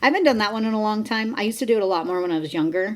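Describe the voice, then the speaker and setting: Lively in intonation, a woman speaks at a very fast pace. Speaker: podcast co-host. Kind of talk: casual chat.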